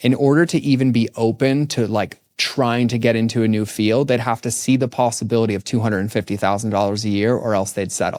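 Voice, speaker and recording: Fairly quick and with ordinary pitch variation, a man talks on a very clean recording with a silent background. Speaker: podcaster. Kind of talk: casual chat. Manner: high energy.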